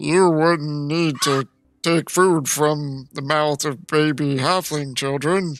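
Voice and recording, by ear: A put-on character voice with a low-to-middle pitch, delivered at a very slow pace.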